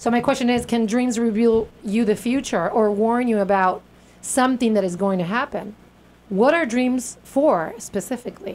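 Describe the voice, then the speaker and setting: Speaking with a Spanish accent, a woman uses a fairly high pitch, ordinary pitch variation and an animated tone. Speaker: radio host. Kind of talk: casual interview chat. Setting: radio studio. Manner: fast.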